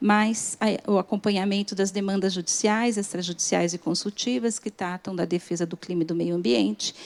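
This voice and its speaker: Soft-spoken and hardly pausing, a woman talks at a moderate pace in a very clean recording with a silent background and a dry, close sound with no echo. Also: medium pitch for a woman, ordinary pitch variation. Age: 50s. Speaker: government lawyer. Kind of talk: conference talk. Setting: stage with audience. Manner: formal.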